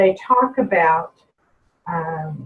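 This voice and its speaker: Somewhat breathy, a woman talks with ordinary pitch variation. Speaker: personnel trainer. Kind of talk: webinar presentation with Q&A.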